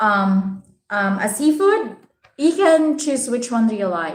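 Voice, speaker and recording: A woman speaks at a very slow pace with lively intonation. Her voice is somewhat breathy and fairly high-pitched. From Philippines, Visayas. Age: 30s. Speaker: vlogger. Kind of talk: live stream chat with viewers. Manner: casual, hesitant with many fillers.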